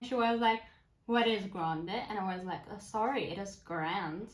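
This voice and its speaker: A woman with a Turkish accent speaks at medium pitch, somewhat breathy, with lively intonation. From Turkey, Istanbul. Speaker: language-learning vlogger, university student. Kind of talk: casual vlog talk.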